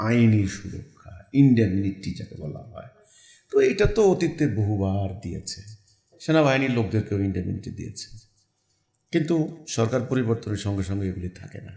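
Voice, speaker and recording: A fairly low, somewhat breathy male voice, dark and mellow in tone, with lively intonation and big swings in loudness. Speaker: religious movement leader. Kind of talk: interview. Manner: halting.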